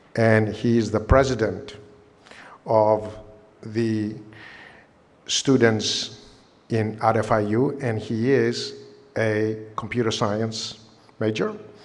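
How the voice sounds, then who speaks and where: Amid audible room echo, a man with a fairly low pitch speaks very slowly in a monotone, flat way, leaving long, frequent pauses. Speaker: engineering college dean. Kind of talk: ceremony speech.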